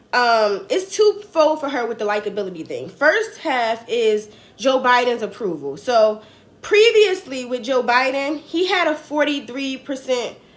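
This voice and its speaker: An animated tone comes through in a New Jersey accent at a fairly slow pace. The pitch swings very wide. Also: woman, high pitch for a woman. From New Jersey, US. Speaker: political commentator livestreamer. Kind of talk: casual political commentary livestream. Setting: livestream.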